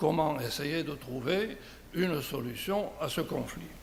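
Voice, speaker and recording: Audible room echo surrounds a man speaking at a fairly high pitch. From southern France. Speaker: conference speaker. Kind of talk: conference talk. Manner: hesitant, with fillers.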